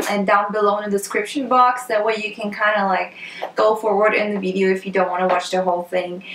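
The speaker has a Polish accent. There is audible room echo along with light background noise. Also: woman. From Poland. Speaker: beauty blogger. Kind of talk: casual talk to camera. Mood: upbeat, friendly. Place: home room.

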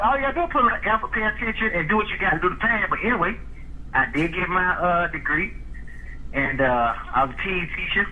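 Over noticeable background noise, a high-pitched man talks at a fairly quick pace with very wide pitch swings. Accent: American. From Jacksonville, Florida (north side). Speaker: former pro football player. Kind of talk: casual interview.

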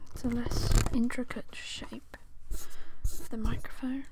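A man against loud background noise. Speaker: ASMR creator. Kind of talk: ASMR roleplay, whispered close-mic talk. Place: home room. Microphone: studio mic.

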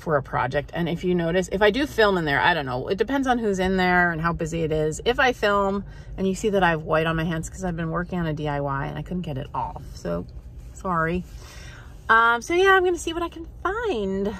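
The recording is dry with no echo, and a woman talks at a fairly quick pace. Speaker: thrift vlogger. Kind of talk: casual vlog chat. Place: car. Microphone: phone near.

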